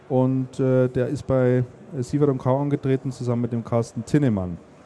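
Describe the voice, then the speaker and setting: A man with an unremarkable speaking voice, a medium pitch and fairly even intonation, at a fairly slow pace. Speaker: podcast host. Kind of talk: casual chat. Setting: stage at a trade fair.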